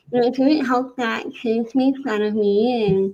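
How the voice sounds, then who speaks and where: Soft-spoken and fairly high-pitched, a woman talks at a fairly slow pace. Her tone is dark and mellow, with ordinary pitch variation. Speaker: podcast guest, transformation coach. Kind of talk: interview, personal testimony. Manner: soft, hard to hear.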